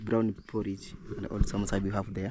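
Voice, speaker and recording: Moderate pace from a man with a dark, mellow tone. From Kenya. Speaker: village vlogger. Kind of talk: casual vlog narration.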